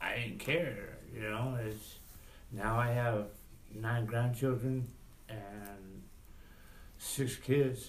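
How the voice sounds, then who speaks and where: The man's intonation stays fairly even. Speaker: father in support group. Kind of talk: group discussion. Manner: loud.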